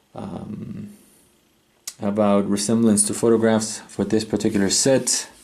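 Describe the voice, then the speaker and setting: A man speaks at a medium pitch with a non-native accent. His pace is fairly slow. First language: not English. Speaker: chess set reviewer. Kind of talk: product review. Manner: hesitant, with many fillers.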